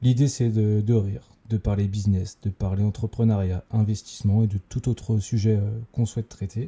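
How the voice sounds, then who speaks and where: A man speaks with a fairly low, somewhat breathy voice of dark, mellow tone and fairly even intonation. The sound is dry and close with no echo, on a very clean recording with a silent background. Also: moderate pace. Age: 20s. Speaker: entrepreneur, podcast co-host. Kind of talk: casual chat. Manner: hesitant, many fillers.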